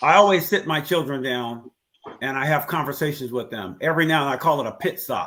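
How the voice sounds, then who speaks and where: A man talks at a fairly quick pace in a plain, everyday voice. His pitch is fairly high and varies an ordinary amount. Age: 60s. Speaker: father in a discussion panel. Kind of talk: casual chat. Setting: live stream.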